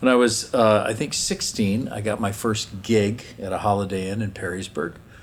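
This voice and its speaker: A plain, everyday voice from a man, fairly low, with fairly even intonation and a moderate pace. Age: 60s. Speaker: folk singer-songwriter. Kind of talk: interview.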